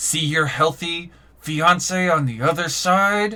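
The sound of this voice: Using a put-on character voice, a man speaks at a fairly slow pace with a high pitch and ordinary pitch variation.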